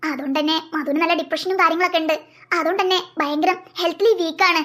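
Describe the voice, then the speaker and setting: A cartoonish character voice at an extremely high pitch, delivered at a moderate pace. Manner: patient, explanatory, reassuring.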